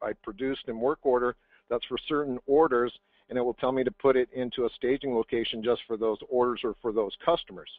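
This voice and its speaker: A man talks at a fairly quick pace. His pitch is medium and his intonation fairly even. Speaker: software product presenter. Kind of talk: webinar product demo. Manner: fast; halting, many fillers and restarts.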